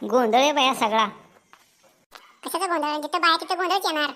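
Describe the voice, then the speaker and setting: A woman's cartoonish character voice, high in pitch, with lively intonation at a moderate pace. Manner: blunt, quarrelsome, impatient.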